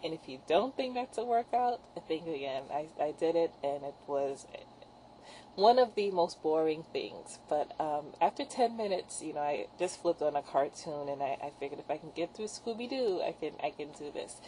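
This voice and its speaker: A woman's fairly low-pitched voice with a dark, mellow tone, very wide pitch swings and big swings in loudness. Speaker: fitness vlogger. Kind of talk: casual video diary. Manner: fast; hesitant, many fillers.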